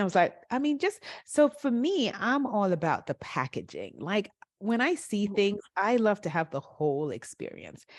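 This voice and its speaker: Against a quiet background, a woman with a fairly high pitch and vocal fry speaks at a moderate pace with very wide pitch swings. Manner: upbeat, enthusiastic.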